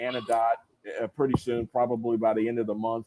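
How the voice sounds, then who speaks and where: With a Southern US accent, a man talks at a medium pitch in a dark, mellow tone, the sound dry and close with no echo. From US South, rural North Carolina. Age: 60s. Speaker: retired military officer and congressional candidate. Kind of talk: live stream interview. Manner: casual, animated.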